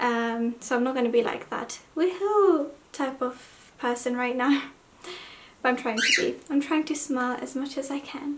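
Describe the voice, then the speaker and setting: Against noticeable background noise, a woman speaks high in pitch with ordinary variation. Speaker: hijab fashion vlogger. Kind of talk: haul video chat. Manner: subdued, talking slowly.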